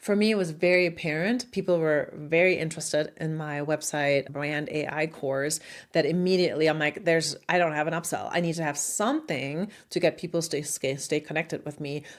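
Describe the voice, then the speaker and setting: Speaking with a German accent, a woman uses a very deep, low pitch and fairly even intonation at a fairly quick pace. The recording is very clean, with a silent background. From Germany. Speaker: marketing consultant and online educator. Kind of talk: casual talk to camera. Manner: direct.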